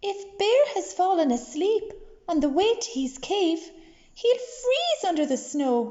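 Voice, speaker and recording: A woman puts on a character voice at an extremely high pitch, with very wide pitch swings. She speaks at a fairly slow pace. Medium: read story.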